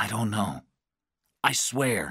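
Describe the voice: Using a put-on character voice, a man speaks slowly in a fairly low pitch with a fairly bright tone, a slightly husky edge and big pitch swings, on a very clean recording with a silent background.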